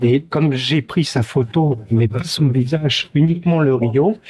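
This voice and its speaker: The man's voice is somewhat breathy. It sits at a medium pitch with ordinary variation. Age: 60s. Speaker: protester interviewed outside court. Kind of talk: street interview testimony. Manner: hesitant, many fillers.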